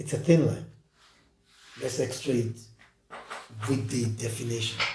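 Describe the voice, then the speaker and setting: At a fairly slow pace, a somewhat breathy man speaks with medium pitch and fairly even intonation, with audible room echo around him. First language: not English. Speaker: podcast co-host. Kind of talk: casual discussion.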